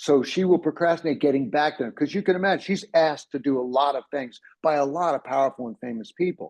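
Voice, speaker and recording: In a dry, close sound with no echo and a quiet background, a man with an American accent and a fairly high pitch speaks in an animated tone at a very fast pace, with hardly any pauses and ordinary pitch variation. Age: 60s. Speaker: ADHD coach. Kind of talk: presentation.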